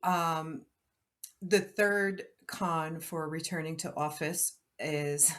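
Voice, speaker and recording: A woman's fairly low voice with fairly even intonation. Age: 50s. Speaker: podcast co-host. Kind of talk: casual chat. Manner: loud.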